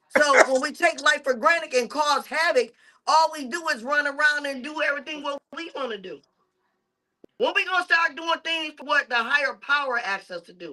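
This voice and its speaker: A woman's raised, projected voice, high-pitched with a bright, sharp tone, big swings in loudness and ordinary pitch variation. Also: moderate pace. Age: 50s. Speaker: podcast co-host. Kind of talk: casual chat.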